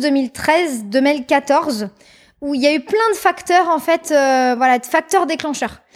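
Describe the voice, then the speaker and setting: At a fairly slow pace, a woman speaks in a high-pitched voice. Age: 30s. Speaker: scientist and company CEO. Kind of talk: interview.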